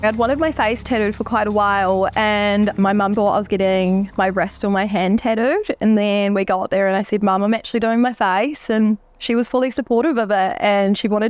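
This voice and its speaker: A woman's medium-pitched voice at a fairly quick pace, with fairly even intonation and music in the background. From Manchester, England. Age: 20s. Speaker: heavily tattooed woman. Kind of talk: documentary interview answer.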